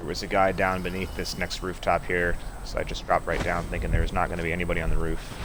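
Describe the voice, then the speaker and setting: Very fast speech from a man comes through with noticeable background noise and audible room echo. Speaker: gaming streamer. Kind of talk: live gameplay commentary. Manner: talking quietly.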